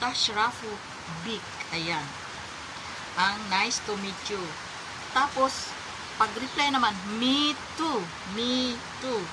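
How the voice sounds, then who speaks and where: Ordinary pitch variation from a woman over noticeable background noise. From Philippines. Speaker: overseas domestic worker sharing tips. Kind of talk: tutorial. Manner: halting.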